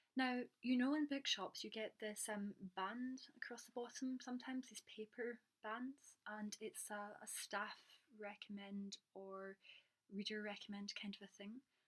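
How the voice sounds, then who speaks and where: A woman with a fairly high pitch and a somewhat breathy voice talks at a fairly slow pace, her intonation fairly even but her loudness swinging widely. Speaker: booktuber and publishing worker. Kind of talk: casual vlog. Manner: hesitant, many ums.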